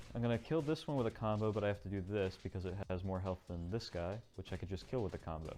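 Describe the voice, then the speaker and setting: Over music in the background, a man speaks very fast with hardly any pauses at a fairly low pitch and ordinary pitch variation. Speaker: speedrunner. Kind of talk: gameplay commentary.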